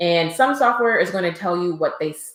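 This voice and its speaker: With an American accent, a woman talks at a fairly low pitch with lively intonation. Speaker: accountant. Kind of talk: live stream tutorial. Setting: live stream. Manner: fast.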